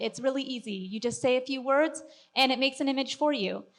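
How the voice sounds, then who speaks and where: A woman speaks loudly at a high pitch with ordinary pitch variation. The background is quiet. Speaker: 3D artist and workflow specialist giving a talk. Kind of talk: conference presentation.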